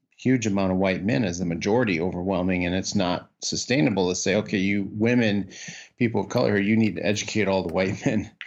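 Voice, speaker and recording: This is a man speaking. His pace is fairly quick. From US Midwest, Iowa. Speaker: leadership development consultant. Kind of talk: interview. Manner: halting.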